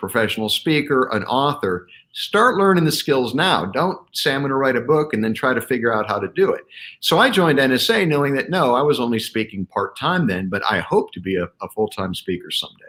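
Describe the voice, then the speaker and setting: Talking at a fairly quick pace, a man with a medium pitch makes very wide pitch swings. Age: 60s. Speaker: leadership keynote speaker and author. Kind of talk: interview.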